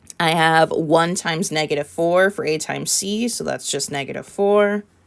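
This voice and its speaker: A woman with a normal speaking voice talks at a moderate pace, her pitch fairly low with ordinary variation. The recording is very clean, the background silent. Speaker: math teacher. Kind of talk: tutorial. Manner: casual.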